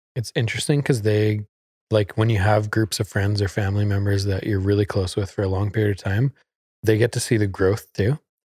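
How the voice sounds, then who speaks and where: A man speaks at a fairly quick pace in a somewhat breathy, fairly low voice with fairly even intonation. The recording is very clean with a silent background and a dry, close sound with no echo. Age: 30s. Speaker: podcast host. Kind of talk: casual chat.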